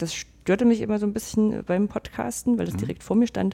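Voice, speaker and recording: Dark and mellow in tone, a woman talks at a fairly quick pace. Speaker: podcaster. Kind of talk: casual chat.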